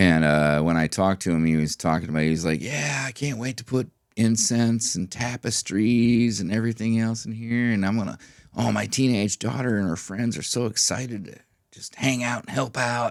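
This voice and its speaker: A plain, everyday voice from a man with an American accent, medium in pitch, lively in intonation, in a very clean recording with a silent background. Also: moderate pace. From Minnesota. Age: 40s. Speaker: record store owner. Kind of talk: casual chat.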